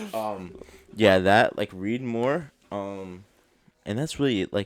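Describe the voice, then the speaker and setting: A man mumbles at a very slow pace. His voice is fairly low in pitch, with ordinary pitch variation. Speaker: podcast host. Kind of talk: casual chat. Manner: mumbling.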